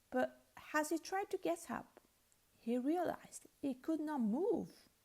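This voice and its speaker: Speaking with a non-native accent, a woman keeps a fairly slow pace. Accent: non-native English speaker. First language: Italian. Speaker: English teacher. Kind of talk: storytelling reading.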